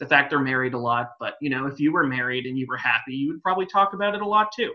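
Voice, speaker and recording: A man with an American accent speaks at a fairly high pitch, with ordinary pitch variation. His tone is bright and sharp. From US West Coast. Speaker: music podcast co-host. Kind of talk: casual chat.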